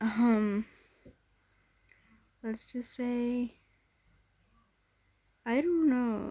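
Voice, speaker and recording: The tone is dark and mellow. The pace is very slow. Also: woman. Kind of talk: casual gameplay commentary.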